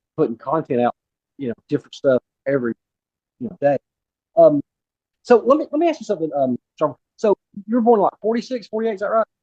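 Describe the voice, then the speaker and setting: A man with a high pitch and a dark, mellow tone talks at a very fast pace, his pitch swinging very widely. Long, frequent pauses break up the speech, and the sound is dry and close with no echo. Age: 40s. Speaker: podcast host. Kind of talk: interview. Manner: halting.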